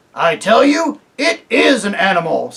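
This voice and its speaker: In a put-on character voice with a fairly high pitch, the speaker swings very widely in pitch at a moderate pace. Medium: read story. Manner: blunt, indignant.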